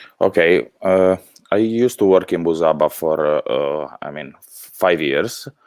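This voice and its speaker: A man with an Italian accent and a very deep, low pitch speaks at a fairly slow pace, with ordinary pitch variation, big swings in loudness and a dry, close sound with no echo. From Italy. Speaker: former restaurant manager. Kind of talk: interview. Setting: live stream. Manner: hesitant with fillers.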